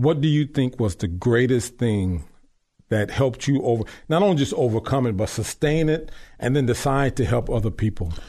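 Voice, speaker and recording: Medium-pitched with an American accent, a man speaks at a moderate pace in a dark, mellow, somewhat breathy tone. His loudness stays very even while his intonation is lively. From Long Beach, California. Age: 50s. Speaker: radio host. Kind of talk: interview. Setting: studio. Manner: animated.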